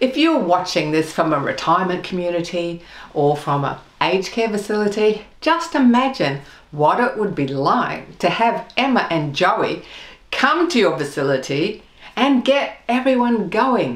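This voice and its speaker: A woman with an Australian accent speaks fairly slowly at a medium pitch, her pitch swinging very widely, with audible echo in the room. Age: 50s. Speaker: web show host. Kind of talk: scripted presenting; interview. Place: home room.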